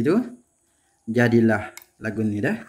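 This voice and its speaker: Here a man speaks at medium pitch. His pace is fairly slow. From Kelantan, Malaysia. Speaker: home cooking channel host. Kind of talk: cooking tutorial. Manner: casual, conversational.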